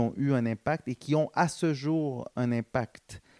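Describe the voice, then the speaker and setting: A man speaks with an energetic tone and ordinary pitch variation. The sound is dry and close, with no echo. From Montreal, Quebec. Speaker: social entrepreneur. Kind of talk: interview. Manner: hesitant, many fillers.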